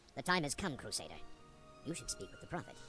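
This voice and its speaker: Over clear music in the background, a put-on character voice races along at a very fast pace in a low-to-middle pitch. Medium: video game. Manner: repetitive, insistent.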